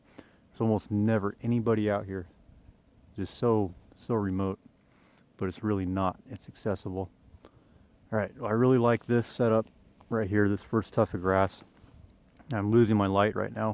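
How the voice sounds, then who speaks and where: Monotone, flat intonation at a moderate pace, broken by long, frequent pauses. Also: man, fairly low pitch for a man. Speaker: landscape photographer. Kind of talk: vlog narration on location. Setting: outdoors. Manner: casual, with fillers.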